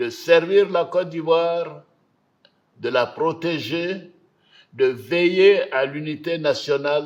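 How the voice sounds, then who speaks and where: A man with a high pitch speaks very slowly and with fairly even intonation. He takes long, frequent pauses. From Côte d'Ivoire. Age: 80s+. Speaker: head of state. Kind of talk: televised national address. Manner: formal, read.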